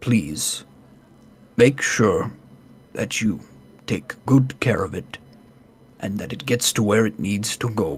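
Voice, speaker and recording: In a put-on character voice of medium pitch, a man speaks at a fairly slow pace with lively intonation and long, frequent pauses. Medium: actual play. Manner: formal, courteous.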